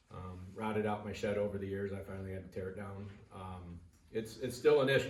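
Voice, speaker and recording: Amid noticeable background noise and audible room echo, a man speaks at a fairly quick pace with fairly even intonation. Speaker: resident at public comment. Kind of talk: public comment. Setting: township board meeting. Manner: loud; halting.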